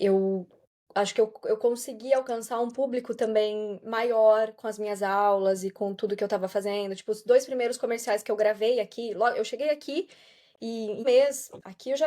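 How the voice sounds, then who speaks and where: At a moderate pace, a dark, mellow voice with ordinary pitch variation comes through on a very clean recording with a silent background. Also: woman. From southern Brazil, Santa Catarina. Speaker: voice-over artist and yoga teacher. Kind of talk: podcast interview. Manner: relaxed, conversational.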